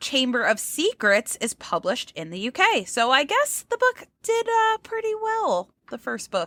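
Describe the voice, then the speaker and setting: A woman's high, raised and projected voice, bright and sharp, with very wide pitch swings, a fairly slow pace, hardly any pauses, and a dry, close sound with no echo. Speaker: podcast co-host and book collector. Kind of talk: casual chat.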